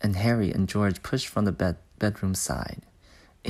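Intonation here is fairly even. It comes in a natural reading voice.

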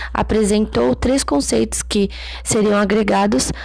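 A woman's moderately paced speech comes through alongside noticeable background noise. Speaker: psychology educator. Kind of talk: lecture. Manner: reads passages then paraphrases with fillers.

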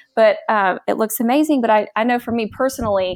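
A woman talks with ordinary pitch variation at a moderate pace, on a very clean recording with a silent background. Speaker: teacher and education blogger. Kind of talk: casual chat. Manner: animated.

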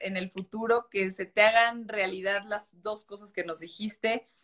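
Dry and close with no echo, a woman's voice moves at a fairly slow pace and fairly high pitch. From Mexico. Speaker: journalist and live-stream host. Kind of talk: casual interview. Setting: live video stream.

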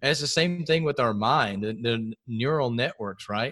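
Energetic in tone with lively intonation, a man with an American accent speaks at a moderate pace against a quiet background. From Texas, Houston area. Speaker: fitness coach and podcaster. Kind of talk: casual chat.

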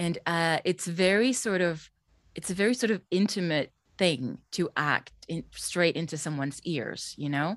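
A woman speaks fairly slowly in a Swedish accent, her pitch fairly low and her intonation lively. The recording is very clean, with a silent background. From Sweden. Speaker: voice actor and drama teacher. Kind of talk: casual interview.

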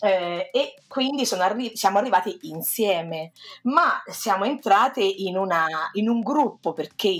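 Speaking at a medium pitch and a fairly slow pace, a woman uses lively intonation in a very clean recording with a silent background. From central Italy, Perugia. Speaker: literature teacher. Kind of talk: casual chat. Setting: podcast recording. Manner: halting.

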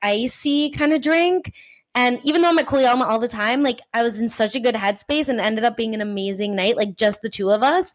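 A plain, everyday voice from a woman with an American accent, fairly high-pitched, with ordinary pitch variation. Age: 20s. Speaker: podcast host.

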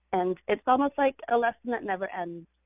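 A woman with a normal speaking voice talks at a fairly quick pace with lively intonation. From California. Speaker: poet. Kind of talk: casual interview chat. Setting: studio.

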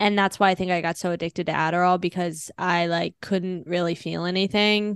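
With an American accent, a woman speaks at a fairly low pitch and fairly quick pace in a monotone, flat intonation. The sound is dry and close with no echo, and the background is quiet. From Washington DC area / northern Virginia. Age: 30s. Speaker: stand-up comedian. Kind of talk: casual interview chat. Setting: podcast. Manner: fast, filler-heavy with lots of 'like'.

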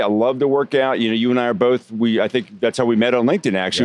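This man talks at a medium pitch. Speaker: podcast guest; sales training founder. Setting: restaurant. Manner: smooth, polished pitch.

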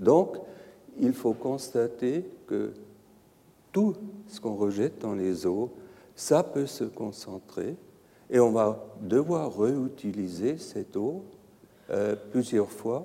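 A man's medium-pitched voice with a dark, mellow tone and lively intonation, at a very slow pace with long, frequent pauses. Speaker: pharmaceutical environmental risk scientist. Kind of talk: conference lecture. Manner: halting, hesitant non-native French.

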